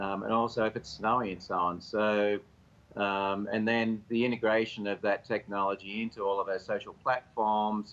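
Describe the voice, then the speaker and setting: A man with an Australian accent talks at a moderate pace. His fairly low pitch stays monotone and flat. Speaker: company executive. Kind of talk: TV interview.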